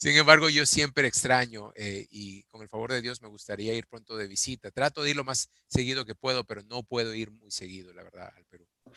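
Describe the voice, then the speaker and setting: Speaking at a fairly quick pace with hardly any pauses, a man has a bright, sharp tone, a medium pitch with ordinary pitch variation, big swings in loudness and a dry, close sound with no echo. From Peru. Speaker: interviewee, executive. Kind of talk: interview. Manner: hesitant, repeats words.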